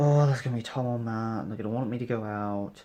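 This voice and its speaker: Quiet and dark, mellow in tone, a man with a British accent speaks at a fairly quick pace with fairly even intonation. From UK. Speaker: vlogger. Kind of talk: casual vlog monologue. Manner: halting.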